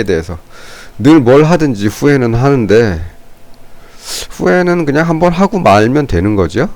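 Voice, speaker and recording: A man speaks at medium pitch with very wide pitch swings and long, frequent pauses. Noticeable background noise is present. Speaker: stock market commentator. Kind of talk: unscripted market analysis commentary. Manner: slow; halting, unscripted.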